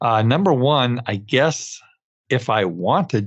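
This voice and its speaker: With an American accent, a man uses an ordinary speaking voice at medium pitch, his intonation lively. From New York (Brooklyn). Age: 60s. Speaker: podcast host, dental accountant. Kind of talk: solo podcast monologue. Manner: many filler words, uh.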